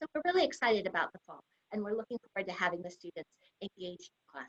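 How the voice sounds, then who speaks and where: Her pitch swings very widely as a woman speaks at a very fast pace. The sound is dry and close with no echo. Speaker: university administrator and psychology professor. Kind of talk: online information session talk.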